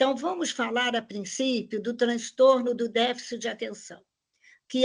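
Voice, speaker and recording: Over a quiet background, a woman talks in a high pitch at a moderate pace with ordinary pitch variation. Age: 70s. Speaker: lecturer. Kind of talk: lecture.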